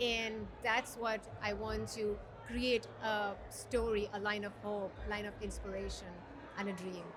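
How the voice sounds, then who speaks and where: A woman with an American accent at a fairly slow pace, with audible room echo and noticeable background noise. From Dubai. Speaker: podcaster and HR professional. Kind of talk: casual interview.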